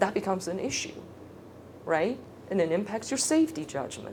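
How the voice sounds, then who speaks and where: A woman speaks at a medium pitch and a moderate pace. The recording carries audible room echo and noticeable background noise. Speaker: speech therapist. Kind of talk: lecture. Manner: casual.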